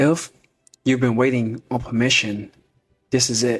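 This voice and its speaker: A man at a medium pitch with a Southern US accent and a moderate pace. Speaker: podcast host, motivational speaker. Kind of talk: motivational monologue.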